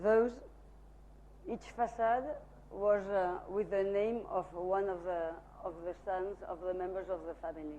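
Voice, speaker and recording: Speaking with a Spanish accent, a woman with a medium pitch and a dark, mellow tone moves at a fairly slow pace, leaving long, frequent pauses and keeping her intonation fairly even. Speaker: architect presenting own work. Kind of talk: lecture. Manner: halting, many fillers.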